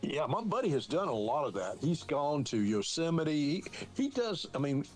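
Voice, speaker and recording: A man at a fairly high pitch with very wide pitch swings, very even loudness and a moderate pace, over background music. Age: 70s. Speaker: podcast co-host. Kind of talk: casual chat.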